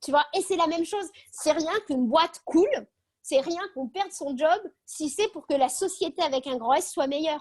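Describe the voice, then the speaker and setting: A woman at a moderate pace, high-pitched, with lively intonation. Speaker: speaker on optimism. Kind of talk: video call talk. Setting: video call.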